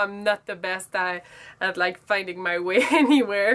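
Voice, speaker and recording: A woman talks with a strong French accent. Her pitch variation is ordinary and her pace moderate. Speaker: beauty vlogger. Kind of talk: casual vlog monologue. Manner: halting, self-correcting.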